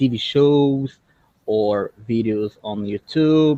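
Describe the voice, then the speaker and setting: This man speaks with a Brazilian Portuguese accent and ordinary pitch variation. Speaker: English learner, YouTuber, software developer. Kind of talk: casual chat. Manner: halting.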